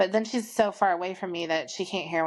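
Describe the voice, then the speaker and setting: The speaker is a woman. Ordinary pitch variation runs through her speech. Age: 30s. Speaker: podcast host. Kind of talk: casual chat. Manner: loud.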